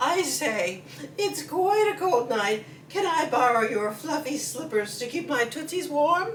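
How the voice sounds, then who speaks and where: Over clear background noise, a woman puts on a high-pitched character voice. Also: fairly slow pace. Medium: read story. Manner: genteel, chummy.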